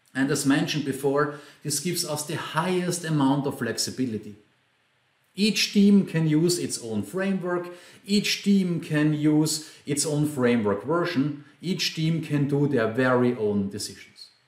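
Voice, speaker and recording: A man with an Austrian accent speaks at a fairly slow pace in a fairly high voice, his intonation lively, with audible room echo. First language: German. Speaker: software trainer and consultant. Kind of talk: conference talk.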